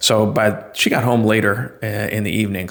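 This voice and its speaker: With a New England accent, a man speaks at a moderate pace in a fairly low, bright, sharp voice with flat, monotone intonation. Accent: Yankee. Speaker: vlogger. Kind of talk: casual monologue. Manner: hesitant, many fillers.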